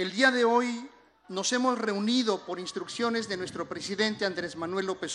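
Noticeable background noise runs under the recording. A man talks at a fairly slow pace with ordinary pitch variation. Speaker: government official. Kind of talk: formal report speech.

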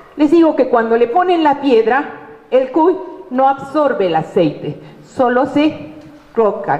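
The speech moves at a fairly slow pace. Noticeable background noise and audible room echo are present. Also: woman. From Peru, Arequipa. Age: 50s. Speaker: university lecturer and tourism businesswoman. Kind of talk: conference talk.

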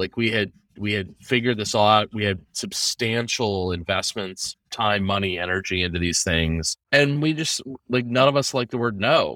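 Recorded very cleanly against a silent background, a man with an American accent speaks at a moderate pace in a fairly low, bright, sharp voice. The sound is dry and close with no echo, and his pitch varies in an ordinary way. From US Pacific Northwest (Seattle). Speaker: real estate broker. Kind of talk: podcast interview.

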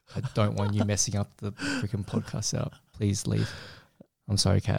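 A man with a fairly low pitch and vocal fry speaks with fairly even intonation. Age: 20s. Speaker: podcast host and photographer. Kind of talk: casual chat.

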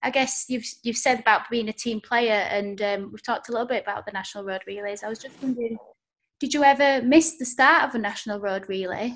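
In a Yorkshire accent, a woman talks at a very fast pace with a fairly high pitch and big swings in loudness. The background is quiet. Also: ordinary pitch variation. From Yorkshire, northern England. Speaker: podcast host. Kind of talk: casual interview. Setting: video call.

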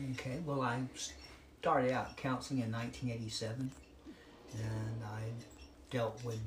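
Through noticeable background noise and audible room echo, a man speaks at a fairly slow pace with fairly even intonation. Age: 70s. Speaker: licensed counselor. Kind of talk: interview. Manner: halting.

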